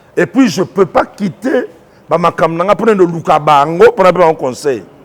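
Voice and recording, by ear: A man speaks in a high pitch at a moderate pace.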